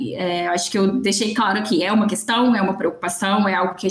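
Noticeable background noise sits behind a woman speaking. Her pitch is medium and her pace moderate. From Belo Horizonte, Minas Gerais. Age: 30s. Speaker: marketing agency founder. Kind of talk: casual chat.

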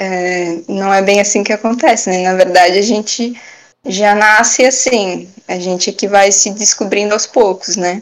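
At a fairly slow pace, a woman uses a normal speaking voice with medium pitch and fairly even intonation. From Brusque, Santa Catarina, southern Brazil. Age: 20s. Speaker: barista. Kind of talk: interview.

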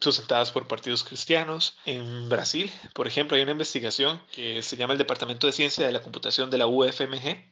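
Talking at a moderate speed, a man uses a medium-pitched voice. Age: 20s. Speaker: journalist and fact-checker. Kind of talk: interview. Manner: halting, frequent repetitions and fillers.

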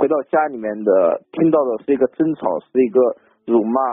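The man speaks at a fairly quick pace with a medium pitch. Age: 20s. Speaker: caller. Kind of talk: call-in counseling. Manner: halting.

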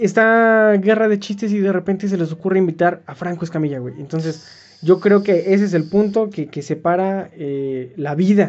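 The speaker talks at a moderate pace in a Mexican accent. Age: 20s. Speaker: podcast co-host and student. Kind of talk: casual chat.

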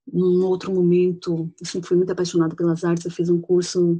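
At a moderate pace, a woman speaks in a fairly low pitch with a dark, mellow tone and monotone, flat intonation. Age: 40s. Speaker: teacher. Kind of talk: personal testimony. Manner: halting.

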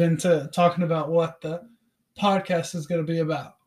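A man speaks at a moderate pace with a high pitch. His intonation stays monotone and flat. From Tennessee, Knoxville. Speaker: podcast co-host, high school teacher and football coach. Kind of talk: casual chat.

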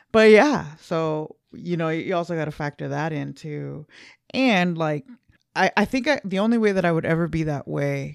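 A woman's very deep, low voice in an American accent, with ordinary pitch variation and a dry, close sound with no echo. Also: very clean recording, silent background. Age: 40s. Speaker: podcast co-host. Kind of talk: casual chat.

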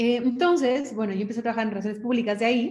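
A woman speaks somewhat breathily, with fairly even intonation. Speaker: fashion stylist and consultant. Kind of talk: interview. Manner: halting, many fillers.

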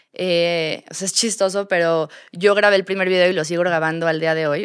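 In a fairly low voice, this woman talks with monotone, flat intonation. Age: 30s. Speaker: store co-founder and marketing director. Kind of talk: interview.

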